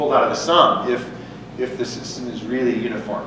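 A man speaks with audible room echo. Noticeable background noise runs underneath. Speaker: lecturer. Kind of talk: lecture. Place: hall.

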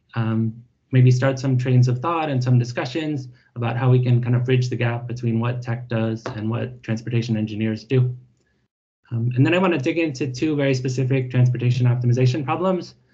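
Against a quiet background, a man talks at a fairly quick pace in a somewhat breathy voice with fairly even intonation. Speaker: speaker. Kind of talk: lecture. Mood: friendly, relaxed. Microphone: video call.

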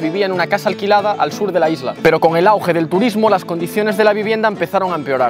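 A man's high-pitched voice at a very fast pace with hardly any pauses, ordinary pitch variation, dry sound with no echo, and clear music in the background. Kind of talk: casual vlog chat. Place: garden. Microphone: lapel.

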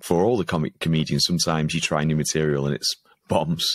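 A man speaks with a Lancashire accent. The background is quiet. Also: dry sound with no echo. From Preston, Lancashire, northern England; northern England. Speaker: stand-up comedian and comedy show organiser; stand-up comedian. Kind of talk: casual interview chat. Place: home room.

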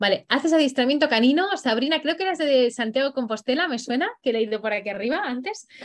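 Against a quiet background, a woman with an animated tone, high pitch and lively intonation speaks very fast, with hardly any pauses. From Spain. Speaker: dog trainer; dog trainer hosting a workshop. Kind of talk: live online workshop; live online workshop talk. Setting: livestream. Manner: hesitant, many fillers. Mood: cheerful, enthusiastic. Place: home room. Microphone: video call.

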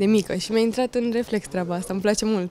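Her intonation fairly even, a woman speaks at a fairly high pitch. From Romania. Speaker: beauty queen and influencer; influencer. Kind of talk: interview. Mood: relaxed, smiling. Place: studio. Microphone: handheld.

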